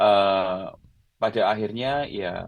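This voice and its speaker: A man's fairly low voice with fairly even intonation, quiet background. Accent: Javanese. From Central Java, Klaten; long in Yogyakarta. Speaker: designer and singer-songwriter, blogger. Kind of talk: casual podcast interview.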